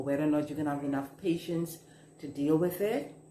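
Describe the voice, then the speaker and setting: Over noticeable background noise and audible room echo, a woman with a Bahamian accent speaks at a very deep, low pitch in a monotone with flat intonation. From Bahamas. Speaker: management coach. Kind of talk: advice talk to camera. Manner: slow.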